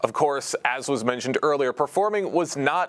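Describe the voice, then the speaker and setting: A man speaks at a moderate pace in a fairly high pitch with lively intonation. Noticeable background noise runs behind him. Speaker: local TV reporter. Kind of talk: local news report.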